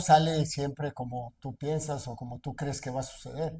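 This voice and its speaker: A man's somewhat breathy voice, fairly high in pitch, with a dark, mellow tone, fairly even intonation and a fairly slow pace, on a very clean recording with a silent background. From central Mexico, Aguascalientes region. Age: 60s. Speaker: businessman and aspiring politician. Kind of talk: interview. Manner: hesitant, many fillers.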